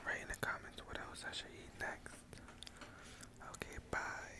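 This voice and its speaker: Whispering with long, frequent pauses, the speaker is heard over noticeable background noise. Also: man. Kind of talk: casual talk to camera. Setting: library, eating chips and drinking soda.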